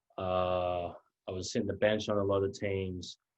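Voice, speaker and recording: Fairly low-pitched male speech with a slight Australian accent, monotone and flat in intonation, over a quiet background. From Australia, rural Victoria near Melbourne. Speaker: college basketball player. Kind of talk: interview.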